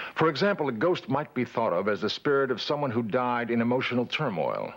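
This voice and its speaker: A man speaks at medium pitch and a fairly quick pace. His tone is calm, yet his intonation is lively. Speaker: documentary narrator. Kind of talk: documentary narration.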